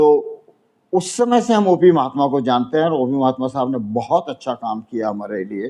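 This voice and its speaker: This man talks at a moderate pace in a medium, dark and mellow voice with lively intonation. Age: 80s+. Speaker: elderly NRI landlord. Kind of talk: interview testimony. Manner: halting, with filler sounds.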